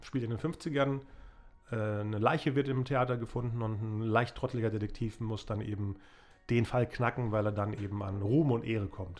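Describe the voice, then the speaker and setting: A man talks in an ordinary speaking voice at a medium pitch and a moderate pace, with ordinary pitch variation. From Germany, Bielefeld. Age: 40s. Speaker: podcast host and filmmaker. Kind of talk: casual chat.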